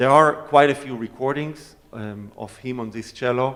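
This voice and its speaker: The speaker uses an Israeli accent, a fairly slow pace and fairly even intonation. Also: man. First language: Hebrew. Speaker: cellist. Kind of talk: audience Q&A.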